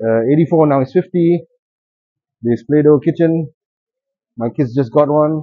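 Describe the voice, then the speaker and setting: Against a quiet background, a man speaks at a moderate pace with ordinary pitch variation. The sound is dry, with no echo. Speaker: toy collector vlogger. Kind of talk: casual vlog chat. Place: hall. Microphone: phone near.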